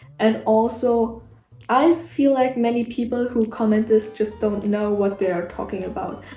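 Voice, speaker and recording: The speech comes at a fairly slow pace in a non-native accent with fairly even intonation. Noticeable background noise sits behind it. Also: woman, fairly high pitch for a woman. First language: not English. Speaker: amateur artist, video creator. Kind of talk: casual opinion rant. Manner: reading from notes.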